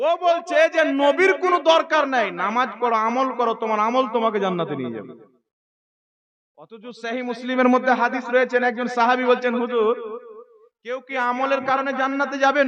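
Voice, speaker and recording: A man speaks at an extremely high pitch, with ordinary pitch variation. His loudness swings widely. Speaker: Islamic preacher. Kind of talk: religious sermon to a gathering.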